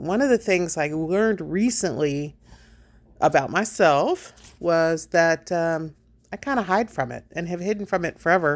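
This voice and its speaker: A woman speaks with lively intonation. The recording is very clean, with a silent background. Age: 60s. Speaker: vlogger and dog trainer. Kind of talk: casual vlog talk. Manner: hesitant, many fillers.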